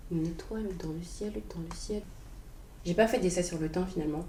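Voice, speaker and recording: Room echo is audible as a woman talks at a moderate pace with a fairly low pitch. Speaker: vlogger sharing personal reflections. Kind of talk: unprepared personal monologue. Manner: halting, searching for words.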